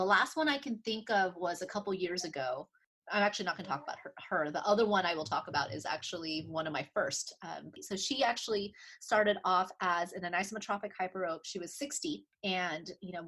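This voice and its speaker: Bright and sharp in tone, a woman speaks at a fairly quick pace with a medium pitch and lively intonation. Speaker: optometrist. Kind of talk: interview. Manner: fast.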